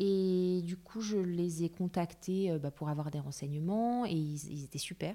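A woman with ordinary pitch variation and hardly any pauses. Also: fairly slow pace. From Paris, France. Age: 30s. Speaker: interior architect. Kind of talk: casual interview.

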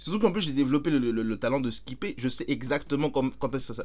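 A man talks at a very fast pace with an animated tone. His voice has vocal fry. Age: 30s. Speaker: podcast co-host. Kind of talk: casual chat.

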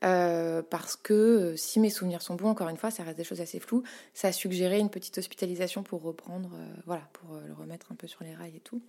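In a very clean recording with a silent background, a woman with a plain, everyday voice speaks at a medium pitch, with ordinary pitch variation and a moderate pace. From Paris, France. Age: 30s. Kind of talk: casual interview. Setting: home studio.

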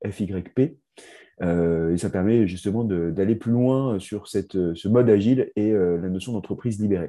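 Against a quiet background, a man with a dark, mellow tone and fairly low pitch speaks fairly slowly with ordinary pitch variation. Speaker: podcast host. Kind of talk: interview hosting.

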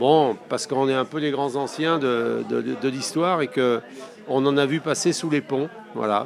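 Fairly high-pitched man at a fairly slow pace amid noticeable background noise. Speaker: federation founder. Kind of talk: interview.

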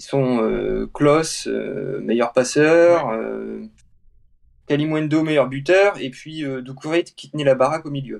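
Speaking very slowly, a man with a fairly high voice uses ordinary pitch variation. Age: 30s. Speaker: football pundit. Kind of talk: casual chat.

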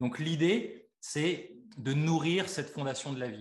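A man talks at a very slow pace. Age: 40s. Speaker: osteopath and life coach. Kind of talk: interview.

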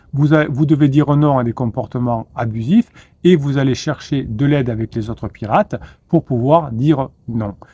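The recording is dry and close with no echo, carrying a man's medium-pitched, somewhat breathy voice. His tone is dark and mellow, with ordinary pitch variation. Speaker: relationship coach. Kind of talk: video monologue. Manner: fast; halting, repeated words.

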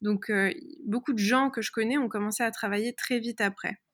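Fairly even intonation from a woman, on a very clean recording with a silent background. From France, Paris area. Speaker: personal development coach. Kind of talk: interview. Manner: hesitant, many fillers.

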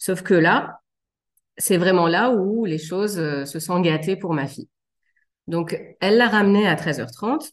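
Against a quiet background, a woman at medium pitch speaks very slowly with lively intonation and long, frequent pauses. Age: 30s. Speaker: general practitioner and mother. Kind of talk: testimony. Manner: hesitant, frequent fillers.

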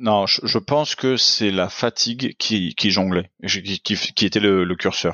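Speaking very slowly with hardly any pauses, a man with a fairly low pitch keeps his loudness very even and his pitch variation ordinary. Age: 30s. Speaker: entrepreneur and father. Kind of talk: casual interview chat. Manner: halting, many repetitions.

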